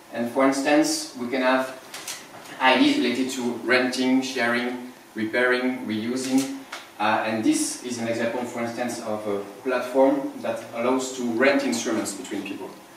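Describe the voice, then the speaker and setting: At a moderate pace, a man speaks at a medium pitch in a monotone, flat intonation, with audible room echo and noticeable background noise. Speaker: sustainability entrepreneur. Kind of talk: timed pitch presentation.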